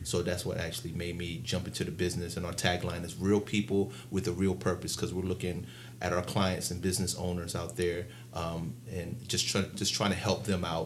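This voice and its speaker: Somewhat breathy, a man with a very deep, low pitch and an American accent talks at a fairly quick pace with ordinary pitch variation amid audible room echo. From Baltimore, Maryland. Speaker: financial consultant. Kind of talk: interview.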